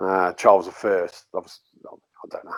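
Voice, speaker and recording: A very deep, low male voice at a fairly quick pace. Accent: West Midlands. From Worcester, England. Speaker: folklorist, storyteller. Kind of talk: interview answer, storytelling.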